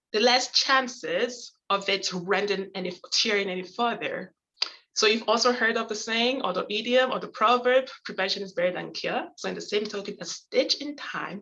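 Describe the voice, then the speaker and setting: Her voice plain and everyday, a woman speaks at a moderate pace with a fairly high pitch and ordinary pitch variation. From Canada. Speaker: conflict and negotiation educator. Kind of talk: lecture.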